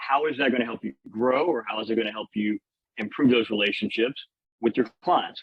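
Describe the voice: With a Louisiana accent, a man talks at a fairly quick pace in a fairly low pitch, with a slightly husky edge and ordinary pitch variation. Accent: Louisiana Southern American.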